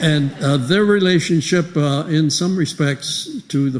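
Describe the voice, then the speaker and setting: Very slow and somewhat breathy, this voice shows normal pitch movement. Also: man. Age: 80s+. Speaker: retired professor and church member. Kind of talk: speech to congregation. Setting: church. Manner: halting, with many fillers.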